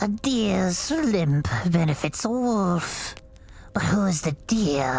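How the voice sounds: Lively intonation in a natural reading voice.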